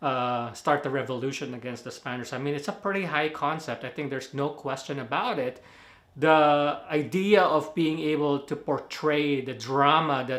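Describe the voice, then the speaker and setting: A man with a Filipino accent speaks fairly slowly in a fairly high voice with fairly even intonation. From Philippines. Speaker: movie reviewer. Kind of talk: casual video review. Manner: casual, hesitant with fillers.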